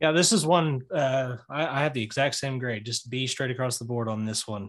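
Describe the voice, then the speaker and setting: At a fairly quick pace, a man of medium pitch speaks in a normal speaking voice with ordinary pitch variation. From Oklahoma, Tulsa area. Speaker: college sports podcaster. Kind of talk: casual chat.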